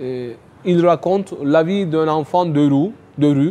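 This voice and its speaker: A man speaks with a Turkish accent at a very slow pace. His pitch variation is ordinary. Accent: non-native French, Turkish. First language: Turkish (speaking French). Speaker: writer and economics youtuber. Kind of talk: interview. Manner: hesitant, many fillers.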